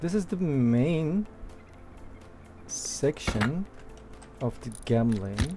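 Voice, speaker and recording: Speech comes at a very slow pace in a non-native accent, with long, frequent pauses. Music plays in the background. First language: not English. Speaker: gaming tutorial creator. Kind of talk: tutorial. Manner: casual, halting.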